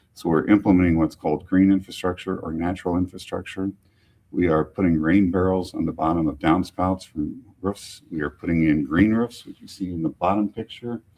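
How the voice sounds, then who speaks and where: A man with a very deep, low pitch speaks at a fairly quick pace, keeping his intonation fairly even. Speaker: public utility executive director giving a talk. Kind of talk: public presentation with slides. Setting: museum event with live audience. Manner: fast.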